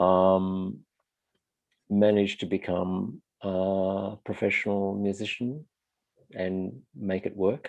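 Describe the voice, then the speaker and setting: A man with an Australian accent, fairly low in pitch and fairly even in intonation, at a very slow pace with long, frequent pauses against a quiet background. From rural Australia. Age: 60s. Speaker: musician. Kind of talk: interview.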